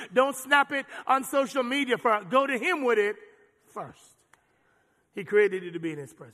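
Raising and projecting his voice, a man speaks at an extremely high pitch with a bright, sharp tone, big swings in loudness, and long, frequent pauses. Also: lively intonation, moderate pace. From Jamaica. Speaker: pastor. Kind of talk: sermon. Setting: church. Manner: animated.

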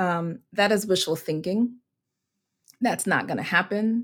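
A woman talks at a fairly slow pace with ordinary pitch variation in a plain, everyday voice. The recording is very clean, with a silent background. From US Virgin Islands (Saint Croix). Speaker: seminary professor and minister. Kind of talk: interview conversation.

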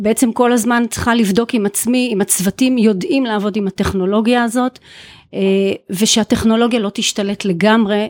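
A woman talks at a fairly high pitch with fairly even intonation. The sound is dry and close, with no echo. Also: very clean recording, silent background. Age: 50s. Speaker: chief nurse. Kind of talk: interview. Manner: halting.

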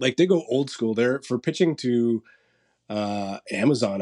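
A man with a Canadian accent and a dark, mellow tone. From St. Catharines, Ontario. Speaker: marketing and PR agency co-owner, musician. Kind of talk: casual interview chat.

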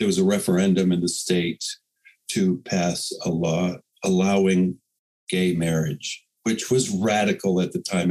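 A man talks with a very deep, low pitch. His intonation is fairly even and his loudness very even. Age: 60s. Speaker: poet and magazine editor. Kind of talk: casual chat.

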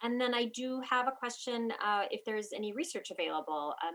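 Her pace is moderate and her pitch varies in an ordinary way. The speaker is a woman with a normal speaking voice. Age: 40s. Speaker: physical therapist. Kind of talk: interview.

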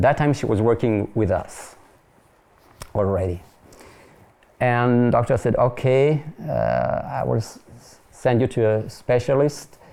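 In a French accent, the speaker talks at a fairly slow pace with ordinary pitch variation and long, frequent pauses. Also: man, medium pitch for a man. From France, near Paris. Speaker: pastor and French-language TV ministry presenter. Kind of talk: interview conversation. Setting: studio.

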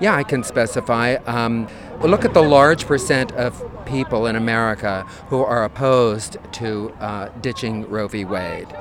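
Noticeable background noise behind a man's fairly slow speech. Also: medium pitch for a man, ordinary pitch variation. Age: 60s. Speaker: activist protester. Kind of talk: street interview. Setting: outdoors at a street protest.

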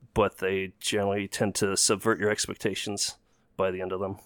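Recorded very cleanly with a silent background and a dry, close sound free of echo, a man speaks at a moderate pace. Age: 30s. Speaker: game critic. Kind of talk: casual chat.

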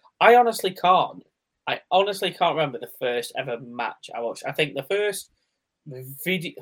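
Speaking with a British accent, a man uses a high pitch with very wide pitch swings. His loudness swings widely and his pace is moderate. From UK. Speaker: wrestling podcast host. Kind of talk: casual chat.

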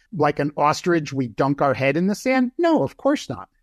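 A man speaks in an unremarkable speaking voice at a fairly high pitch and a moderate pace. The sound is dry and close with no echo, and the background is quiet. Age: 60s. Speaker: professor. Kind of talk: interview.

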